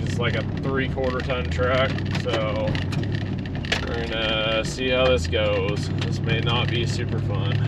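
A man at a fairly slow pace, dry with no echo, under loud background noise. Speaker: driver vlogger. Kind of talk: casual vlog chat. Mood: wry, slightly nervous humor. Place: car. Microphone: phone near.

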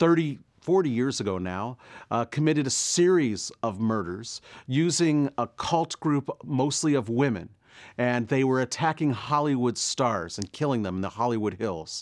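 With lively intonation and a moderate pace, a man speaks over a quiet background. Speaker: university lecturer. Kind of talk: lecture. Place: studio.

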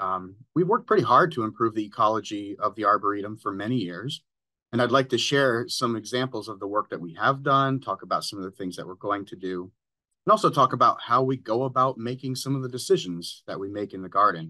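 A man speaks at a fairly quick pace with lively intonation. His fairly low voice has a bright, sharp tone.

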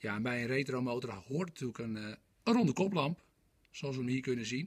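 The intonation is lively, set against a quiet background. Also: man. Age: 40s. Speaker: motorcycle salesperson. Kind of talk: product presentation. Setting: motorcycle showroom. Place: shop. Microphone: phone near.

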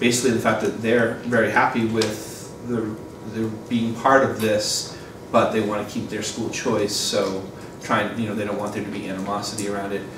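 A man speaks at a moderate pace in a fairly low, flat monotone. Noticeable background noise and audible room echo surround him. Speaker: board member giving committee report. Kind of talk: meeting report. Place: classroom. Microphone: camera far.

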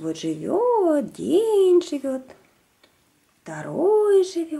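Her voice is high-pitched yet dark and mellow, with vocal fry and a husky, rough edge.

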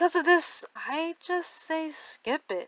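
A woman's raised, projected voice. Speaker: commentary host; animator. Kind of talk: casual commentary to camera.

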